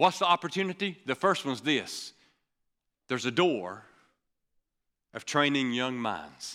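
A man's fairly high, bright and sharp voice with an animated tone, fairly slow with long, frequent pauses, on a very clean recording with a silent background. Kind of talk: sermon. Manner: animated, punchy preaching with call-and-response; urgent, exhortative, repeating phrases for emphasis.

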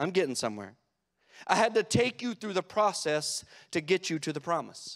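In an American accent, the speaker moves at a moderate pace with very wide pitch swings, recorded very cleanly against a silent background with a dry, close sound and no echo. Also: man, high pitch for a man. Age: 40s. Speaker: pastor. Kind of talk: sermon. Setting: church.

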